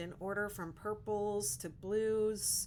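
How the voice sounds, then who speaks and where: In an ordinary speaking voice, a woman with an American accent talks at a medium pitch with fairly even intonation. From Western Pennsylvania. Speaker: crochet content creator. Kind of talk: casual livestream chat.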